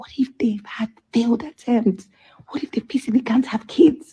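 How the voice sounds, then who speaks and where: Whispering, a woman speaks at a moderate pace. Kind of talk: casual chat.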